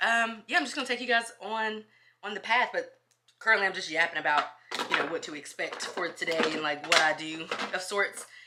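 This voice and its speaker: A woman's medium-pitched voice carries lively intonation. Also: fairly quick pace. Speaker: school social worker and lifestyle vlogger. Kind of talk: casual vlog chat. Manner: fast.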